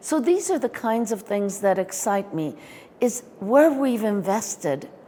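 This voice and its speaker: A plain, everyday voice from a woman, fairly high in pitch, with lively intonation and a fairly slow pace. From California, US (moved from Iran at nine). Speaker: education consultant. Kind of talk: interview.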